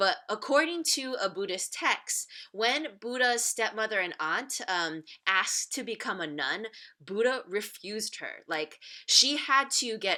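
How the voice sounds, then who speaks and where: Speaking at a fairly slow pace, a woman uses a fairly high pitch and a bright, sharp tone, her voice making very wide pitch swings. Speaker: teacher. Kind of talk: recorded lesson. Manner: casual.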